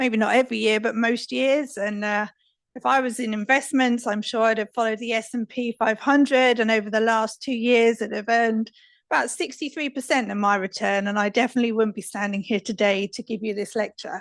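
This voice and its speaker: A woman's fairly high voice with a British accent, fairly quick and fairly even in intonation, over a quiet background. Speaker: risk advisory specialist. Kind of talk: conference talk. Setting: stage with audience. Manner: soft-spoken.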